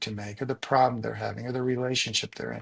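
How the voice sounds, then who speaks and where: Against a quiet background, a man with a normal speaking voice talks in a medium pitch with fairly even intonation. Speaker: coach. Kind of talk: interview. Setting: podcast.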